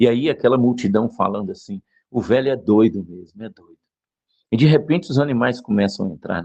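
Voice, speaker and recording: A man speaks at a fairly quick pace in a dark, mellow tone, with big swings in loudness. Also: medium pitch for a man, lively intonation. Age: 60s. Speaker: preacher. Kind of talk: sermon.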